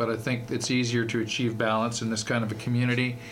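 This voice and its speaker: A man with a Canadian accent speaks at medium pitch in a monotone, flat delivery. Audible room echo and noticeable background noise surround him. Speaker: university fundraising executive. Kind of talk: radio interview. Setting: radio studio.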